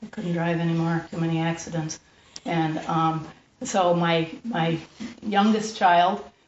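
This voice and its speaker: A woman with a fairly low pitch talks at a moderate pace as noticeable background noise carries on behind her. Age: 60s. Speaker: mental health recovery speaker and landscaper. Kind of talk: personal testimony to a group. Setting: group room. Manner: halting, full of fillers.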